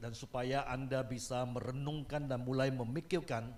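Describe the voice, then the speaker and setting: A man with a fairly high pitch talks at a moderate pace, and audible room echo follows his words. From Malaysia. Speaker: guest preacher. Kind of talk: sermon.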